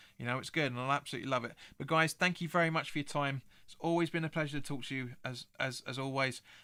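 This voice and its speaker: In a very clean recording with a silent background, a man speaks at a very fast pace. His voice is fairly high and bright, sharp in tone, with ordinary pitch variation. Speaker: football fan channel host. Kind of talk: live stream chat reading viewer comments. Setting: live stream. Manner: halting, frequent repetitions.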